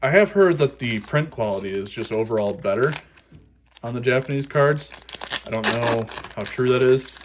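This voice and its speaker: Noticeable background noise sits behind the speech. The speaker takes long, frequent pauses. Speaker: YouTuber opening trading cards. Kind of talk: casual unboxing commentary. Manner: fast; animated.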